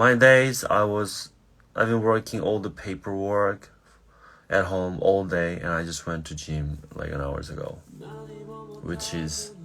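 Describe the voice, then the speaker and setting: Very deep and low in pitch with ordinary variation, a man speaks at a fairly slow pace with long, frequent pauses and big swings in loudness. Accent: Korean. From South Korea. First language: Korean. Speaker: singer. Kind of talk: casual chat. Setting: livestream at night. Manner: halting.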